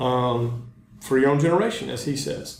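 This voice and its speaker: A man with a Southern US accent and a fairly high voice at a fairly slow pace, with noticeable background noise and audible room echo. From North Carolina, US South. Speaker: teacher. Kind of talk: lecture. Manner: hesitant, many ums and uhs.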